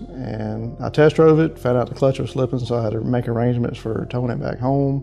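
Faint music plays in the background as a man talks with fairly even intonation. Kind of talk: interview answer. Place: office.

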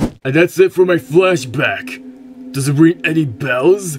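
A man's cartoonish character voice, fairly high in pitch and at a fairly slow pace, with music in the background. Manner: rude, mocking.

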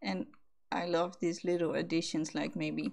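Speaking at a fairly slow pace, a woman talks with a Dutch accent. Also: quiet background. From Netherlands. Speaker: gaming YouTuber. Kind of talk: gameplay commentary. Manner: animated. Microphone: studio mic.

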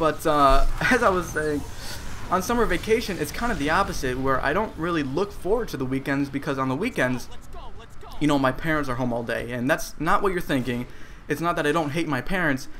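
Music plays in the background as a man with an American accent talks at a very fast pace. His pitch is fairly high and his intonation lively. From Cleveland, Ohio, US. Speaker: gaming YouTuber. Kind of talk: live gameplay commentary. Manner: casual, filled with uh and um. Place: home room.

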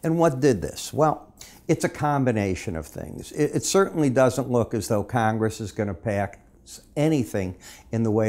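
A man's dark, mellow tone comes through at a moderate pace. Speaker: market analyst. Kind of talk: market commentary. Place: studio.

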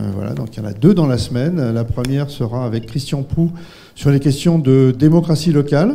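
A man speaks at a moderate pace. His pitch varies in an ordinary way. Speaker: event organizer and moderator; moderator. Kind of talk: public event introduction. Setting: lecture hall with audience. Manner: halting. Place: hall. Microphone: handheld.

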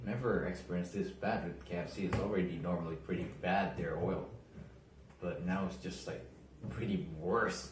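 Over noticeable background noise and audible room echo, a man speaks with a very deep, low pitch and ordinary pitch variation. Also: moderate pace. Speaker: food vlogger. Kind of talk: casual vlog chat. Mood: relaxed, mildly complaining. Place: home room. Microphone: phone near.

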